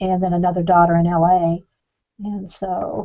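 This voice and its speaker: Speaking at a fairly slow pace, a woman holds a medium pitch in a monotone, flat delivery. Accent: Southern US. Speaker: artist's fan and viewer. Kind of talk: casual chat.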